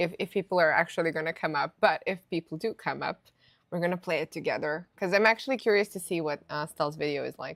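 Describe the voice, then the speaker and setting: With a non-native accent and ordinary pitch variation, a woman talks very fast in a fairly low pitch on a very clean recording with a silent background. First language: not English. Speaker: gaming streamer. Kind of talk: live gameplay commentary. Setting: live stream. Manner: casual, many fillers and restarts.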